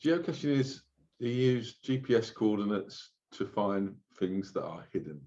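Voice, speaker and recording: With a London accent, a man speaks at a moderate pace in a medium pitch, his intonation lively. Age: old. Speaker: oven cleaning franchisee. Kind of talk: interview. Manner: casual.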